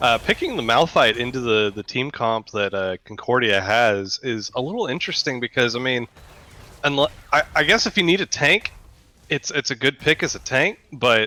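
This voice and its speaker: A quiet man at a medium pitch and moderate pace, with lively intonation, a bright, sharp tone and a dry, close sound with no echo. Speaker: esports co-caster. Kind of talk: live commentary.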